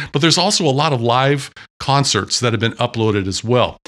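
Bright and sharp in tone, a man speaks with an American accent at a moderate pace. The recording is very clean, with a silent background. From US Pacific Northwest, Washington State. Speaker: podcast co-host. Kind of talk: casual chat. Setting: home studio.

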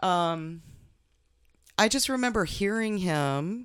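On a very clean recording with a silent background, a woman speaks at a very slow pace. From Minnesota and Oregon. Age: 50s. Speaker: mother of host, amateur martial artist. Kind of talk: personal interview, life story. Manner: halting, repeats words.

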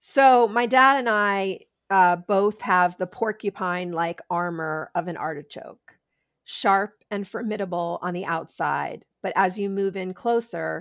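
In a very clean recording with a silent background and a dry, close sound with no echo, a woman uses a normal speaking voice at a medium pitch with ordinary pitch variation. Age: 50s. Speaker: sex educator and author. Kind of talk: interview.

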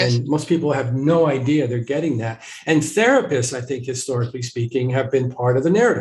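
Speaking at a very fast pace with hardly any pauses, a man at medium pitch sounds somewhat breathy, with ordinary pitch variation. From small town. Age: 60s. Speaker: family therapist. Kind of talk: interview. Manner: halting.

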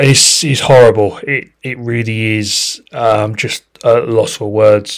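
At a very slow pace, a man with a British accent talks at a medium pitch. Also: fairly even intonation. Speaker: podcast host. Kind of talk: casual interview chat. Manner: halting, repeats words.

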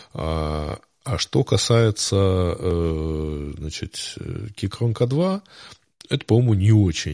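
The man's intonation is lively, and the recording is dry and close with no echo over a quiet background. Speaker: podcast host. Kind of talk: casual chat. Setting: live stream.

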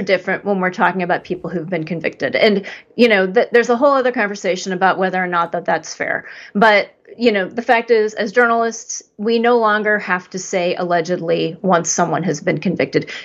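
At a fairly quick pace, a woman of medium pitch speaks with lively intonation in an ordinary speaking voice, the background quiet. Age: 50s. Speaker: podcast co-host. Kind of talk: casual chat.

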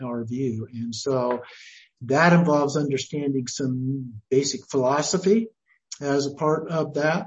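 Speaking very slowly with an American accent, a man uses a fairly high, somewhat breathy voice and fairly even intonation. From Idaho, US. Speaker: Buddhist teacher and retired professor. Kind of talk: interview.

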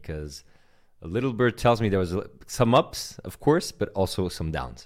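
Very deep, low male voice with vocal fry and lively intonation. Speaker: podcast host. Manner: animated.

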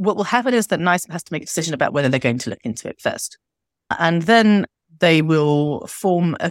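With a British accent, a woman with a fairly low pitch talks at a fairly quick pace with very wide pitch swings, in a dry, close sound with no echo. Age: 40s. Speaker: doctor and fat activist. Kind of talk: podcast interview. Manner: animated.

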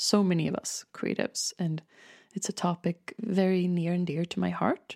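A woman's dark, mellow voice at medium pitch and moderate pace, with ordinary pitch variation, in a very clean, dry, close recording with a silent background and no echo. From Sweden, Stockholm. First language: Swedish. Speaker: podcast host and artist. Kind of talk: solo monologue podcast introduction. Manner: animated, laughs often.

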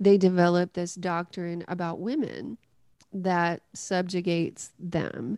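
In a Southern US accent, a woman with a dark, mellow tone and a medium pitch speaks at a very slow pace, in a dry, close sound with no echo. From US South, West Tennessee. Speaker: pastor and author. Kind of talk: interview.

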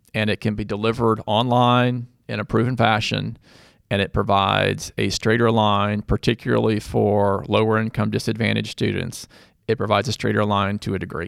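A man talks at a fairly quick pace in a fairly low, gravelly voice with vocal fry and a flat, monotone delivery. The recording is very clean, with a silent background and a dry, close sound free of echo. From Louisville, Kentucky. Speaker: growth equity investor. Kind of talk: casual interview. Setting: studio.

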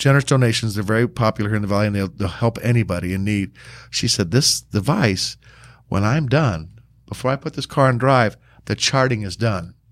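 A fairly quick man with an American accent, fairly low in pitch, with ordinary pitch variation, on a very clean recording with a silent background. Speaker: podcast host, volunteer with sheriff's office, former police motorcyclist. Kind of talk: casual interview chat, joking. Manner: jokey, animated, self-deprecating.

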